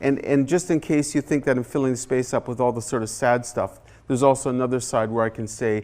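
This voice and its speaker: A man's medium-pitched voice with a Canadian accent and fairly even intonation. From Haida Gwaii, British Columbia, Canada. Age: 60s. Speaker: artist and author. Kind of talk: guest lecture. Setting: university classroom. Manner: impassioned.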